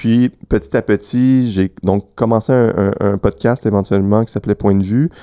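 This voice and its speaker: Over a quiet background, a man speaks in a fairly low pitch with a dark, mellow tone and ordinary pitch variation. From Quebec City, Quebec. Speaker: film festival programmer. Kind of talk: casual interview.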